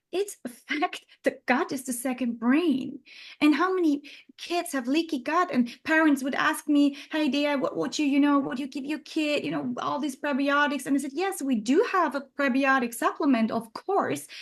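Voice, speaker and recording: A woman speaks at a moderate pace over a quiet background. Her voice is high, with ordinary pitch variation. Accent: non-native. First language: not English. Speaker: neuroscientist and supplement company founder. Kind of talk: interview conversation. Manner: halting, many fillers and restarts.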